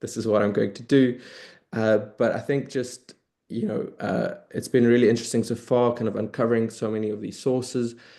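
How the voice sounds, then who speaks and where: Against a quiet background, a man with a South African accent speaks fairly quickly in a monotone, flat delivery, his dark, mellow tone sitting at a medium pitch. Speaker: early career historian, researcher. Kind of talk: academic panel discussion.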